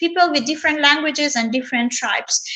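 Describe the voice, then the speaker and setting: A woman's raised, projected voice with an Afghan accent, a bright, sharp tone and ordinary pitch variation. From Afghanistan. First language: Dari. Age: 20s. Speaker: tour guide. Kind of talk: live video interview. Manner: halting, many fillers.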